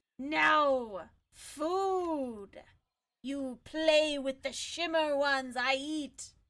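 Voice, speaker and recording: A woman puts on a character voice, pitched high and delivered very slowly. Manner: growling, aggressive.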